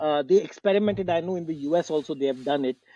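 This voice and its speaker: This man speaks in a dark, mellow tone with lively intonation, and the sound is dry and close with no echo. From India. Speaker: tech entrepreneur. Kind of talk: interview.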